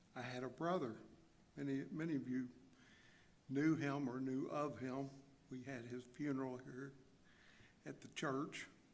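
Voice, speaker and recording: Delivered in a monotone, flat intonation at a fairly slow pace, the speech has long, frequent pauses and audible room echo. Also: man, medium pitch for a man. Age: 60s. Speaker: church member giving testimony. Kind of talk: testimony. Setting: church. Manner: halting pauses.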